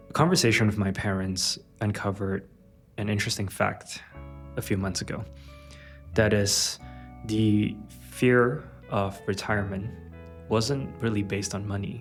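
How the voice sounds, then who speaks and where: With an American accent and music in the background, a man talks at a fairly slow pace in a fairly low pitch, using ordinary pitch variation and long, frequent pauses. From Los Angeles. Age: 30s. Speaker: app founder. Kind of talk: personal vlog talk to camera.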